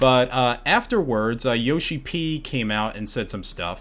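An unremarkable speaking voice from a man, medium in pitch and moderate in pace. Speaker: podcast host. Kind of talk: casual chat.

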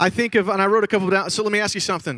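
A man's bright, sharp, animated voice, raised and projected, at a very fast pace, on a very clean recording with a silent background. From Chicago, Illinois. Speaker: pastor. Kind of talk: conference talk. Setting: stage with audience.

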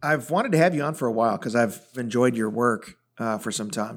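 A man's medium-pitched voice, a plain, everyday voice, with an American accent, a fairly quick pace and ordinary pitch variation, in a very clean recording with a silent background. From US Midwest (Chicago area). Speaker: podcast host, former pastor. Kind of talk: casual interview.

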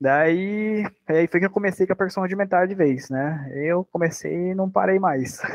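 A man talks at a high pitch, varying it in an ordinary way. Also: moderate pace. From Brazil, Sorocaba, interior of São Paulo. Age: 20s. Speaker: percussionist. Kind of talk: casual interview.

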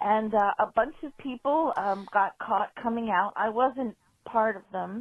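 A woman with an American accent talks at a fairly slow pace in an ordinary speaking voice. Her pitch is fairly high, with ordinary pitch variation. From US Northeast, South Shore Massachusetts. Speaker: caller. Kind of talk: voicemail story. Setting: phone call.

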